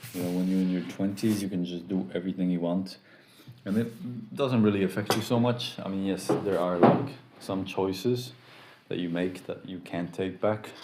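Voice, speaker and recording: Noticeable background noise and audible room echo surround a man's very deep, low voice. He talks at a moderate pace with ordinary pitch variation. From US Midwest, Chicago. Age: 30s. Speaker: streamer. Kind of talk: casual chat. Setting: live stream.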